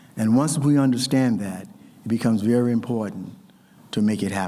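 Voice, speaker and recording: A man speaks at a fairly quick pace with a medium pitch and ordinary pitch variation. His tone is dark and mellow, and audible room echo can be heard. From US South. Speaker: ceremony host. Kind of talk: ceremonial speech.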